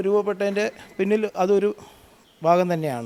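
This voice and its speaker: This man has a high-pitched voice with a dark, mellow tone. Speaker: local party official. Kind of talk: news interview.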